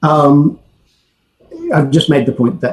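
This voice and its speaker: Somewhat breathy, a man's voice comes through at a fairly high pitch. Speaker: academic researcher. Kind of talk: conference presentation.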